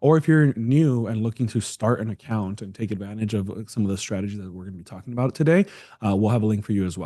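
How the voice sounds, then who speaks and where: A man talks very fast in a fairly low, dark, mellow voice. His pitch varies in an ordinary way, while his loudness swings widely. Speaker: retirement account specialist. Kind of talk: live webinar Q&A. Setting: online webinar. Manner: quiet, speaking low.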